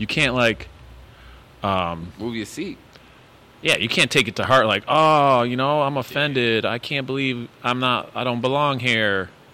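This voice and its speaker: Speaking with an American accent, a man uses a bright, sharp tone at a moderate pace with ordinary pitch variation. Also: medium pitch for a man. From Connecticut, Waterbury. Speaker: podcast host and teacher. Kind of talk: casual interview chat.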